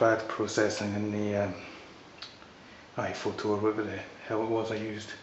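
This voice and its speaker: A man with a Scottish accent speaks at a moderate pace in a fairly low pitch, his intonation flat and monotone, over noticeable background noise. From Scotland. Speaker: photographer. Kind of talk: casual talk to camera. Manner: hesitant, rambling.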